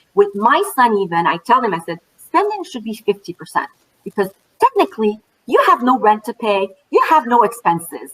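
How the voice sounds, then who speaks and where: A woman with a French accent speaks at a moderate pace. Her pitch swings very widely. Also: fairly high pitch for a woman. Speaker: financial educator for moms. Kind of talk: panel talk at online event. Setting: virtual event. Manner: animated.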